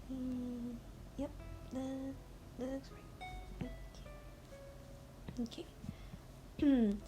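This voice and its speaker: A woman talks at a very slow pace. Music plays in the background. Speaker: illustrator. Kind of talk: drawing tutorial voice-over. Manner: casual, relaxed.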